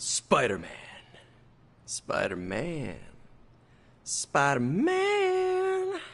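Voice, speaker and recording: In a put-on character voice, the speaker goes very slowly, with long pauses coming often. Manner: menacing, scary.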